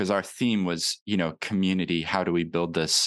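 Against a quiet background, a man with a very deep, low pitch and fairly even intonation speaks at a moderate pace, the sound dry and close with no echo. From moved to New Zealand at age seven. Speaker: commercial lawyer and podcaster. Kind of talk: interview conversation.

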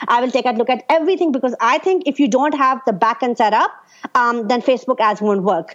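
A woman talks loudly and very fast with lively intonation. Her pitch is high. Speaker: Facebook ads specialist. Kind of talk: interview answers, casual conversation. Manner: fast talker, loud.

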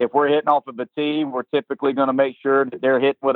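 This man has a Southern US accent. His pitch sits in the medium range. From South Carolina. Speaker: college baseball head coach. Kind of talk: interview.

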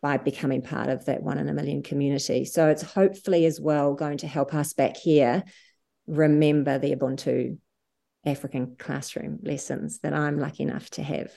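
A woman with a New Zealand accent speaks at a moderate pace in a very deep, low pitch, her dark, mellow tone carrying vocal fry over fairly even intonation against a quiet background. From New Zealand, Wanaka. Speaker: charity founder and CEO. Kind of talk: interview.

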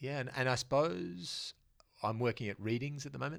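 On a very clean recording with a silent background, a man speaks in an Australian accent at a fairly quick pace. His voice has vocal fry and very wide pitch swings. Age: 50s. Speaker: comics storyteller and lecturer. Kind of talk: casual interview.

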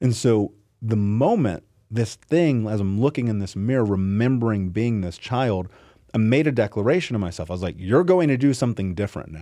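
His tone dark and mellow, a man talks at a fairly quick pace. His intonation is lively. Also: medium pitch for a man, quiet background. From US Midwest, Indianapolis. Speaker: entrepreneur and author. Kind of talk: casual interview. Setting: studio.

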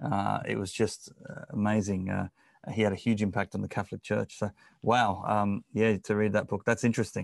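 A man with an Australian accent speaks at a moderate pace and a fairly low pitch, with vocal fry. His intonation is monotone and flat, and the sound is dry and close with no echo. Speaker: podcast host. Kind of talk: interview. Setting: video call.

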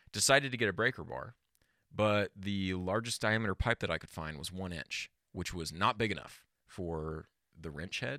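Recorded very cleanly against a silent background with a dry, close sound and no echo, a man with a very deep, low pitch and vocal fry speaks at a moderate pace in a bright, sharp tone, his intonation lively and his loudness swinging widely. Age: 20s. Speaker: podcast host. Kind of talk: casual chat.

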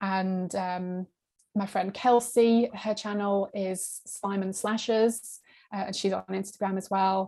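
A woman with a British accent speaks at a very slow pace in a dark, mellow tone. Her medium-pitched voice stays monotone and flat. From UK. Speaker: horror book YouTuber. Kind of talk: casual interview.

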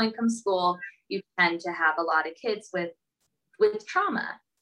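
A woman with an American accent, a bright, sharp tone, a fairly quick pace and ordinary pitch variation. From Southern California. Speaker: elementary school teacher. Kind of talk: interview. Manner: hesitant, many fillers.

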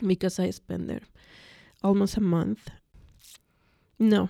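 The delivery moves at a moderate pace with a dry, close sound with no echo. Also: woman. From Mexico City, Mexico. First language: Spanish. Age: 40s. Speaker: mental health patient sharing her story. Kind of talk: personal testimony interview. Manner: hesitant, many fillers.

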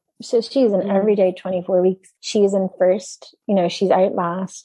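Speaking in a Dublin accent, a woman talks at a fairly slow pace with a medium pitch, a dark, mellow tone, and fairly even intonation. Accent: Irish (Dublin). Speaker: film producer. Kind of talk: interview.

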